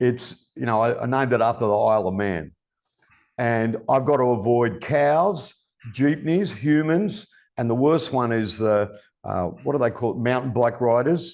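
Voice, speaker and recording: The man's pitch sits in the medium range. He speaks at a moderate pace with lively intonation. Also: quiet background. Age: 60s. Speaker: podcast host. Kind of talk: casual chat. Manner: animated.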